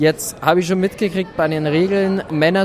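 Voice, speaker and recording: High-pitched male speech with lively intonation over noticeable background noise. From Germany. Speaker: interviewer. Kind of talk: interview.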